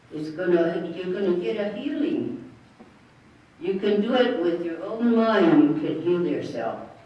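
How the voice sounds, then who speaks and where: The speech moves fairly slowly, and noticeable background noise is present. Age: 80s+. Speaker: elder. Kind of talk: spiritual talk to an audience.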